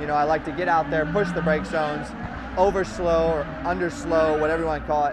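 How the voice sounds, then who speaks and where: In a dry sound with no echo but noticeable background noise, this man talks fairly quickly. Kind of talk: interview answer. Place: garage. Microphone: lapel.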